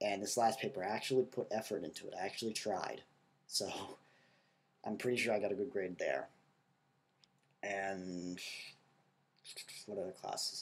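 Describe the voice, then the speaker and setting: A man speaks quietly at a moderate pace with a fairly low pitch, fairly even intonation, and long, frequent pauses. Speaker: college student video blogger. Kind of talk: video diary. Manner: casual, filler-heavy.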